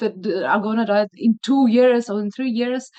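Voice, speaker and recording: Speaking with a Slavic accent, a woman shows ordinary pitch variation. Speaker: video blogger, blood cancer patient. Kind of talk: casual interview. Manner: hesitant, many fillers.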